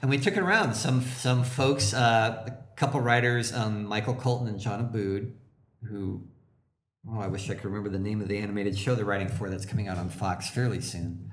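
There is audible room echo around a man's somewhat breathy voice. He talks at a fairly quick pace. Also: medium pitch for a man, ordinary pitch variation. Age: 40s. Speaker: comedy writer and actor. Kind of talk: casual chat.

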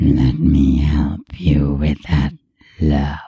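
This man uses a put-on character voice, gravelly and pitched very deep and low. His intonation stays monotone and flat. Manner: amused.

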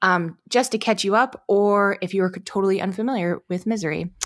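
With a plain, everyday voice, a woman talks at a fairly quick pace and a medium pitch. Her pitch varies in an ordinary way on a very clean recording with a silent background. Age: 30s. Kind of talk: casual chat.

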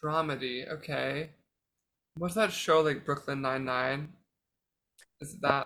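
At a fairly slow pace, a man with a fairly high pitch and a bright, sharp tone speaks with fairly even intonation, long, frequent pauses and big swings in loudness. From Pennsylvania. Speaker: quiz contestant. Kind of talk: casual chat. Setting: remote call.

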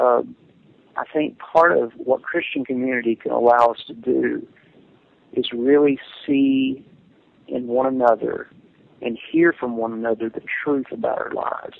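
Speaking with a Tennessee accent, a man leaves long, frequent pauses. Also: moderate pace. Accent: Southern US (Tennessee). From Middle Tennessee (Jamestown). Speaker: pastor and theology PhD student. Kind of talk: casual chat. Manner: halting.

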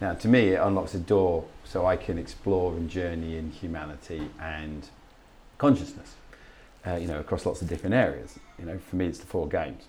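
A man with a very deep, low pitch talks at a fairly quick pace, his voice somewhat breathy and his loudness swinging widely. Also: ordinary pitch variation. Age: 40s. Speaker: podcast host. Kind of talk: casual interview chat.

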